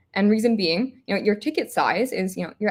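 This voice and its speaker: Very fast, somewhat breathy speech in an American accent. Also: woman. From United States. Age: 20s. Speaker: startup founder. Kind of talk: interview.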